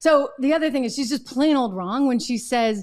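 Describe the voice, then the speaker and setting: The background has little sound. A woman talks over it. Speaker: show host. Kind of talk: political commentary. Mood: indignant, sarcastic. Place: studio. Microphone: studio mic.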